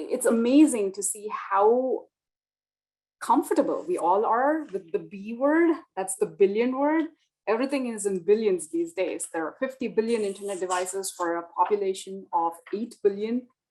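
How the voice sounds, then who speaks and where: A woman's fairly high voice with a dark, mellow tone and lively intonation. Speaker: physician executive. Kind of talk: webinar presentation. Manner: fast.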